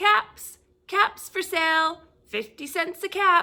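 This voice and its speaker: Using a put-on character voice, a woman speaks in a raised, projected voice at an extremely high pitch, with lively intonation and a fairly slow pace. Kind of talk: bedtime story. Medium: read story.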